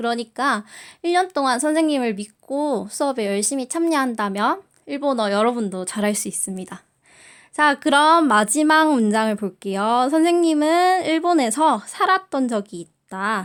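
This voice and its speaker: A woman in a Busan accent, high-pitched and relaxed in tone, with very wide pitch swings. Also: fairly slow pace. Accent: Busan dialect (Gyeongsang). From South Korea, Busan. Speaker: high school Japanese teacher. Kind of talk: recorded online class orientation. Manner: filler-heavy, relaxed (many 자, 어, 음).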